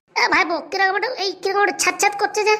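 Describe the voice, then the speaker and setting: A woman does a squeaky, cartoonish character voice at an extremely high pitch. She races at a very fast pace with fairly even intonation. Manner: polite, folksy.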